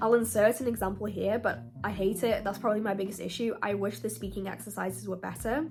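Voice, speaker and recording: A woman speaks in a British accent at a very fast pace. She leaves hardly any pauses. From UK. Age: 20s. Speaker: university student. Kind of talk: casual talk to camera.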